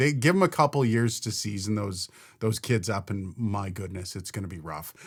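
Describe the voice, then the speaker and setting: A man with a Canadian accent and fairly low pitch speaks at a moderate pace with lively intonation, in a very clean recording with a silent background. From Canada. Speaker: hockey podcast co-host. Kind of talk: casual sports chat. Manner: animated.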